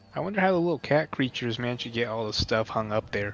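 Music plays behind a man as he speaks. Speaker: gamer. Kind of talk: casual chat.

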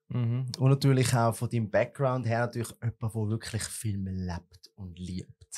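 This man's voice sits at a medium pitch with a dark, mellow tone and ordinary pitch variation. He talks at a moderate pace with hardly any pauses. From Switzerland. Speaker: podcast and TV host; podcast, TV host. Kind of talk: casual interview. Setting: studio. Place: studio. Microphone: studio mic.

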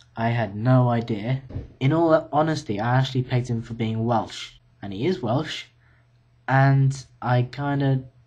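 Speaking fairly slowly, a man talks with a British accent. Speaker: university student vlogger. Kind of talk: casual video diary. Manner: hesitant, many fillers. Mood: relaxed, slightly tired. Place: home room. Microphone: webcam.

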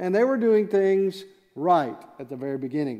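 A man's lively intonation comes through at a fairly quick pace, and the background is quiet. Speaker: pastor. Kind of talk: sermon. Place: church. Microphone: headset.

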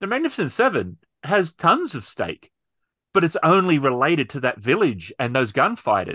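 A man with vocal fry and a bright, sharp tone speaks at a moderate pace and fairly high pitch, swinging very widely in pitch against a quiet background. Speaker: podcast host and role-player; podcast host. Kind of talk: casual chat. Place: home room. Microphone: video call.

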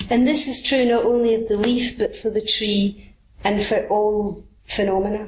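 Over noticeable background noise, a woman with a Scottish accent speaks at a fairly high pitch. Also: fairly even intonation, moderate pace. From Scotland. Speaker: Buddhist teacher. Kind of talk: dharma talk.

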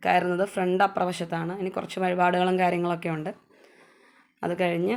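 A woman's fairly low-pitched voice. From Kerala, Kothamangalam (Nellikuzhi). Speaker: vlogger. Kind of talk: vlog narration.

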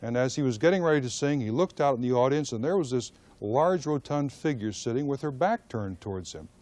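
Here is a man with an unremarkable speaking voice. His intonation is lively. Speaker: interviewer. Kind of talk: radio interview introduction.

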